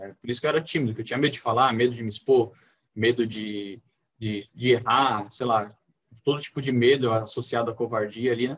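Speaking at a medium pitch, a man holds a moderate speed and a fairly even intonation. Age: 20s. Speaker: university student, church member. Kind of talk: podcast interview testimony. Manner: hesitant, many fillers.

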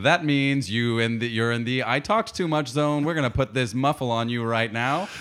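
A man with a normal speaking voice talks at a moderate pace and medium pitch, hardly pausing, with very even loudness and ordinary pitch variation. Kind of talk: infomercial parody. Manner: bright, over-the-top salesman cheer.

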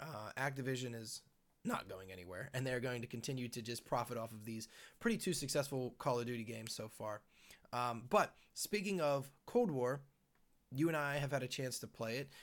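With ordinary pitch variation, an ordinary speaking voice proceeds at a fairly quick pace. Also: man, medium pitch for a man. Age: 30s. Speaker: gaming podcast host. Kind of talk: casual chat. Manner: many fillers (um, uh).

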